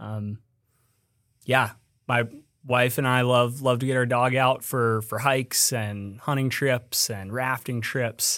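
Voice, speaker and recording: In a very clean recording with a silent background, a man with an American accent speaks at a very slow pace, his medium-pitched voice bright and sharp in tone and his intonation monotone and flat. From Colorado. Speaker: business development director at a small boot maker. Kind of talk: casual chat.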